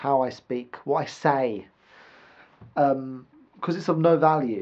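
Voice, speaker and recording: In a British accent, a man talks with ordinary pitch variation. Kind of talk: casual vlog monologue to camera. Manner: rambling, hesitant, some stuttering.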